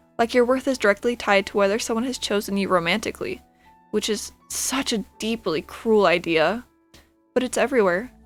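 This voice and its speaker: Over music in the background, a woman talks fairly quickly at a fairly high pitch with ordinary pitch variation. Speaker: ASMR roleplay creator. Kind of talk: ASMR comfort roleplay. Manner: soft-spoken, reassuring.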